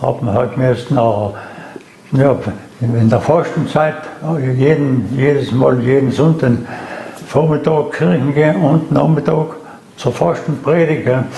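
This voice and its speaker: A man's fairly high voice in a South Tyrolean accent, very slow pace with long, frequent pauses, ordinary pitch variation, very even loudness, and noticeable background noise. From South Tyrol, Ulten valley. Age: 90s. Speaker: eyewitness, war veteran. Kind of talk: interview answer.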